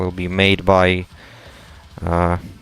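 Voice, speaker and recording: The speaker is a man with a very deep, low voice. He talks in a flat monotone while music plays in the background. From Latvia. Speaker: gaming streamer. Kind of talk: casual chat. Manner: halting, many fillers.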